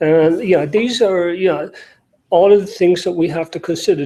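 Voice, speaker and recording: In an Irish accent, a man speaks with a dark, mellow tone. His intonation is fairly even and his pace moderate. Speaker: NGO security director. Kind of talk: panel talk. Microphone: remote link with audio problems.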